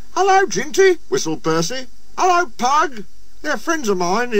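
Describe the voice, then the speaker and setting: A squeaky, put-on character voice goes along at a moderate pace. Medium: read story.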